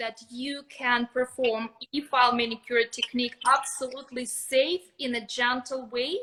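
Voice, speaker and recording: A woman's high-pitched voice in a Russian accent, flat and monotone, at a fairly slow pace. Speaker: nail technician educator. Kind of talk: live stream expert talk.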